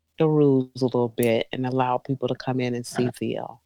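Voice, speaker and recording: The voice has a dark, mellow tone and a South Carolina accent, captured in a dry, close recording with no echo. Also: woman. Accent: Southern US (South Carolina). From US South, Columbia, South Carolina. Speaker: mother of host, guest. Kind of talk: casual chat.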